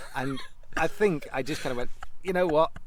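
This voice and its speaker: Speaking at a fairly quick pace with lively intonation, a man uses a normal speaking voice. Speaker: continuity announcer. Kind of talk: podcast interview answer.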